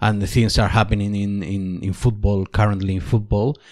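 A man with a Spanish accent speaks in a fairly low pitch with monotone, flat intonation. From Spain. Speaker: sports commentator. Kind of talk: interview. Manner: halting, repeats words.

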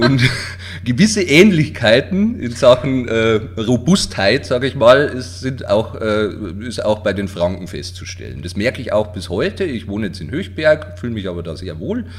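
A man with a fairly low voice talks at a moderate pace with lively intonation and big swings in loudness over noticeable background noise. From Bavarian Forest, Lower Bavaria (Waldkirchen). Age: 40s. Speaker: self-employed writing office owner. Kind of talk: casual interview.

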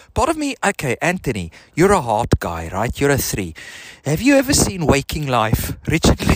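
A man speaks with a slight South African accent. The sound is dry and close, with no echo. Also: moderate pace. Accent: slight Afrikaans-tinged South African. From South Africa, Benoni. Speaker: podcaster. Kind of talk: casual chat. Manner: rambling with fillers.

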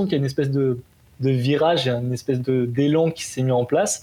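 The man's voice has a dark, mellow tone and comes across somewhat breathy. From southern France, Golfe-Juan. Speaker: triathlete. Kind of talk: interview. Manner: casual, hesitant with fillers.

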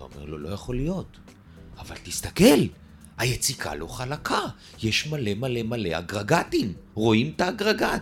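With music in the background, a man speaks at a fairly slow pace, his pitch swinging very widely and his loudness rising and falling sharply, broken by long, frequent pauses. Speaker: real estate developer. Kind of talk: interview.

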